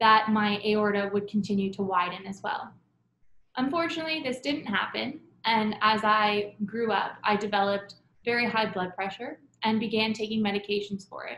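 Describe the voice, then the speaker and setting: A normal speaking voice from a woman with a Canadian accent, fairly high in pitch, with ordinary pitch variation and a moderate pace. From Canada, Toronto. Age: 20s. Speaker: patient storyteller. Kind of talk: testimony.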